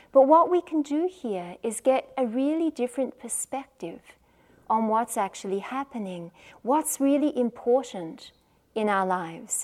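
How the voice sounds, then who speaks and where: On a very clean recording with a silent background, a woman speaks in a high pitch with lively intonation. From Australia. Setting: meditation retreat center.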